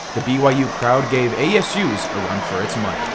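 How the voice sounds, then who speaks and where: Noticeable background noise accompanies a man's medium-pitched voice as he talks at a fairly quick pace. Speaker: student TV news reporter. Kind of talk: sports news report.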